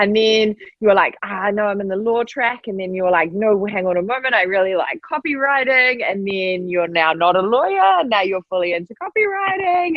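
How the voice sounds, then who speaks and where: Amid noticeable background noise, a woman with a medium pitch talks at a moderate pace with ordinary pitch variation. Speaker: podcast host. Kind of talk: podcast interview, host talk. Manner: enthusiastic, chatty.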